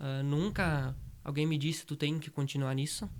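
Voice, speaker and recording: A man talks at a moderate pace in a normal speaking voice, his pitch fairly high for a man. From Brazil, Rio Grande do Sul interior. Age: 20s. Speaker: rural heritage project founder. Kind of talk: interview.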